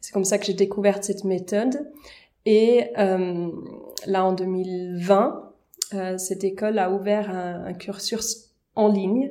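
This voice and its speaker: A woman speaks very slowly at medium pitch, with a dark, mellow tone and ordinary pitch variation. Her loudness swings widely, and she takes long, frequent pauses. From German-speaking Switzerland. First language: Swiss German (speaking French). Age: young. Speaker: vocal coach and pastor. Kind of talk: casual interview.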